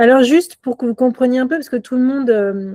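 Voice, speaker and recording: Her voice is a woman's dark, mellow tone, heard in a dry, close sound with no echo. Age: 50s. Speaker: entrepreneur, co-founder hosting a round table. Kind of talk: event introduction to an audience. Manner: hesitant, many filler sounds.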